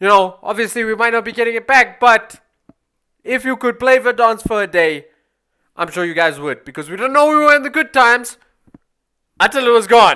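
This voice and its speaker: An animated delivery in a South African accent, fairly quick yet with long, frequent pauses, on a very clean recording with a silent background. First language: Afrikaans. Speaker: gaming YouTuber. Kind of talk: gameplay commentary. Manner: casual, animated.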